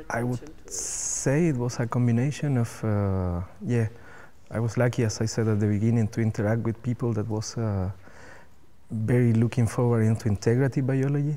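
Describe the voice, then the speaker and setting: In a Spanish accent, a man with a dark, mellow tone talks at medium pitch and a moderate pace, his intonation fairly even. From Chile. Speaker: cell biologist. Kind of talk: interview. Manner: halting.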